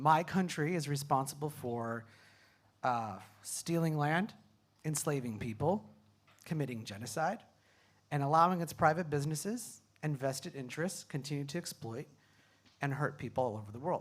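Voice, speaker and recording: A man with a Californian accent talks at a fairly high pitch and a moderate pace, with ordinary pitch variation. He leaves long, frequent pauses, and the recording is very clean with a silent background. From California, US. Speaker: PhD student, climate panelist. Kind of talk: panel discussion. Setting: stage with audience.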